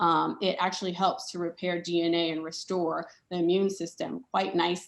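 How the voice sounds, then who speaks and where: In a plain, everyday voice, a woman talks at a moderate pace with fairly even intonation and a fairly low pitch. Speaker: doctor and conference speaker. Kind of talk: conference presentation. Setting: conference session with slides.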